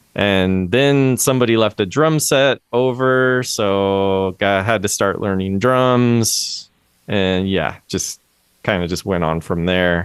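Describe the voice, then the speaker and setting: At a very slow pace, a man with an American accent speaks at a fairly low pitch with ordinary pitch variation and very even loudness. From US Pacific Northwest (Everett, near Seattle). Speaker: music educator and drum teacher. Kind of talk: casual interview chat.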